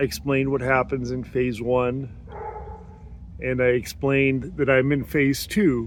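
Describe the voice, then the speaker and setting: Over noticeable background noise, a man with a medium pitch speaks at a very slow pace. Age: 60s. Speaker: health vlogger. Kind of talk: casual video diary monologue. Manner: halting, with fillers.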